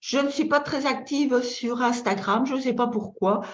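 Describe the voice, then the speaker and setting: Audible room echo surrounds a woman with a Belgian accent who speaks at a very slow pace, fairly high in pitch, with fairly even intonation. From Belgium. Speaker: feng shui consultant and trainer. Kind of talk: online masterclass lecture. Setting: webinar. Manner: halting, with frequent repetitions and fillers.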